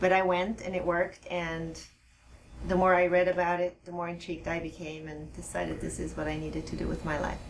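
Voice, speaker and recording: Noticeable background noise and audible room echo around a woman speaking at a fairly quick pace. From Switzerland. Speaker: hypnotherapist. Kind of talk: interview. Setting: studio.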